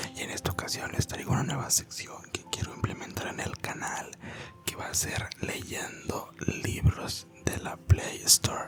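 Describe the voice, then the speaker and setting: A fairly slow whisper against noticeable background noise. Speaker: ASMR creator. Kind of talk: casual talk to camera. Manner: whispered.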